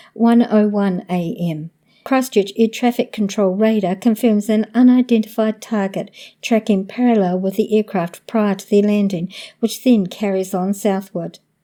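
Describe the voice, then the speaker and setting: On a very clean recording with a silent background, a woman with a New Zealand accent speaks at medium pitch and a moderate pace, her tone dark and mellow and her intonation fairly even. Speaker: podcast host. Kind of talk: paranormal event narration.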